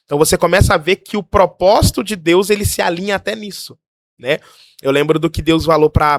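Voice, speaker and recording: With a normal speaking voice, a man talks at a moderate pace with ordinary pitch variation, the sound dry and close with no echo. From Brazil. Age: 20s. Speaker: pastor living abroad. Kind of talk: casual chat, testimony.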